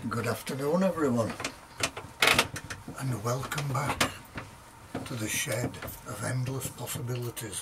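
A man at a fairly slow pace, with long, frequent pauses and loud background noise. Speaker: author reading his own book. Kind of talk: casual introduction to listeners. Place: garage. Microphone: camera far.

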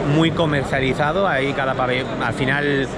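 A man talks over loud background noise, with a dry sound and no echo. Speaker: vlogger. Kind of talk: casual vlog chat. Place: hall. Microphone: phone near.

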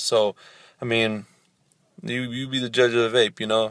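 Over a quiet background, the speaker keeps a monotone, flat intonation at a moderate pace, and the sound is dry with no echo. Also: man. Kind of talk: casual vlog chat. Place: car. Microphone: phone near.

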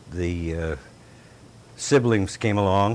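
Very slowly, a man speaks in an Upper Midwest accent with ordinary pitch variation. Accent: Upper Midwest American. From US Midwest (northern Michigan). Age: 70s. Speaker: elderly local resident interviewed for oral history. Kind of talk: oral history interview. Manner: halting.

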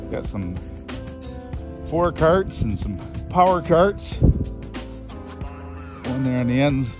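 A man's voice comes across dry, with no echo, while clear music plays behind it. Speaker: auction manager. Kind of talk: auction preview walkthrough, casual talk to camera. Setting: outdoors at an auction site. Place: open country. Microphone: phone near.

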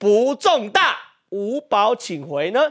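Over a quiet background, this man's speech moves fairly slowly. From Taiwan. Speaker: TV talk show host. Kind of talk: TV political talk show discussion. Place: studio. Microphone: lapel.

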